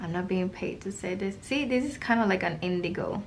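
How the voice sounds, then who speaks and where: Somewhat breathy and at medium pitch, a woman with a non-native accent speaks at a moderate pace. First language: not English. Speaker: art YouTuber and online art teacher. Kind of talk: casual product review while swatching paints. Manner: casual, meandering with fillers.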